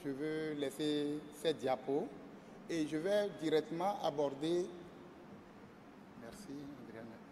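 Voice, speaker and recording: Amid noticeable background noise, a man talks at a fairly high pitch. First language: French. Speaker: biomedical engineer. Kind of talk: conference presentation.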